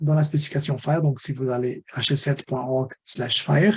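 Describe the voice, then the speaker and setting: A somewhat breathy man with a non-native accent, fairly high in pitch, at a fairly slow pace. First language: not French (speaking French). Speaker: webinar presenter on health data standards. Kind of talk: webinar lecture. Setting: online webinar. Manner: halting, many repetitions and fillers.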